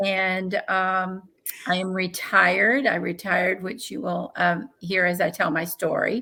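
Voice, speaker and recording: At a fairly slow pace, a woman with a bright, sharp tone, medium pitch and fairly even intonation speaks in a very clean recording with a silent background. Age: 60s. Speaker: transplant recipient. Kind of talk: interview testimony.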